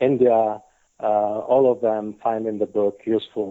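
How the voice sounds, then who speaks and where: In an Italian accent, a man talks at a fairly low pitch with monotone, flat intonation. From Italy. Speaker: patent attorney and author. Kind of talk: podcast interview. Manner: hesitant, many fillers.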